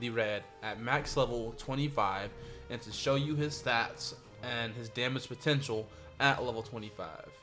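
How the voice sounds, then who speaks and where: A man speaks with music in the background. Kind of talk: casual gaming commentary. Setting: home studio.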